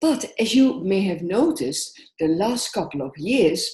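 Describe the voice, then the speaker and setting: A woman with a Dutch accent, somewhat breathy, at a fairly slow pace with very wide pitch swings. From Netherlands. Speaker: social work entrepreneur and coach. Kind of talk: conference presentation.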